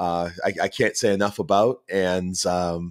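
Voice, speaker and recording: A man's fairly low voice with a Boston accent, at a fairly slow pace. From Boston, US. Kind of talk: podcast interview. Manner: halting, many fillers and repetitions.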